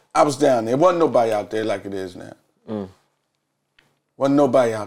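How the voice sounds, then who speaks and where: A man speaks with an American accent in an ordinary speaking voice, medium in pitch. He talks fairly quickly with lively intonation and big swings in loudness. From Philadelphia (West Philly). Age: 40s. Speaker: recovery advocate, former addict. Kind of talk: interview testimony.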